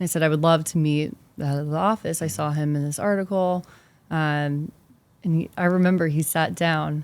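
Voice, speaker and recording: A woman with an American accent and a very deep, low pitch is heard in a very clean recording with a silent background. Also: fairly quick pace. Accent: Boston accent, mostly hidden. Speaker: investment specialist. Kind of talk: interview conversation. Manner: animated.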